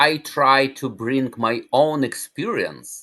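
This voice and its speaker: With a non-native accent, a man speaks against a quiet background. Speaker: cancer survivor, natural healing advocate. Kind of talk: interview. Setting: podcast.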